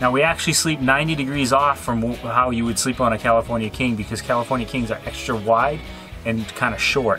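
A man talks at a fairly quick pace with fairly even intonation. Clear music plays in the background. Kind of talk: interview answer.

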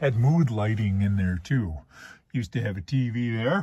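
A man speaks at a fairly slow pace, his voice somewhat breathy. The sound is dry, with no echo. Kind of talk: casual vlog chat. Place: car. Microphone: phone near.

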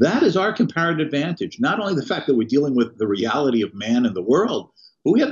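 At a very fast pace, a man with a fairly high pitch speaks with lively intonation. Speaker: economist and professor; professor. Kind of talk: interview. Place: home room. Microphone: webcam.

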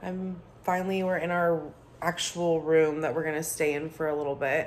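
A woman with a fairly low voice speaks at a moderate pace in a tired tone and monotone, flat intonation, over light background noise. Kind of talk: casual vlog chat. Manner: tired, low, drained post-surgery voice. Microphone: phone near.

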